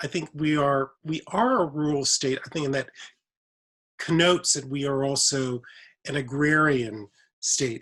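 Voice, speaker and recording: Speaking at a fairly slow pace, a man leaves long, frequent pauses. His voice is fairly high, with ordinary pitch variation. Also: very clean recording, silent background. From Mississippi (Indianola), US South. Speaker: professor, writer. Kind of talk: panel conversation.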